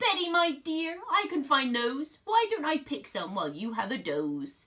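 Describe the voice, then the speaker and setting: A woman puts on a character voice, pitched high. She speaks at a moderate pace. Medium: read story.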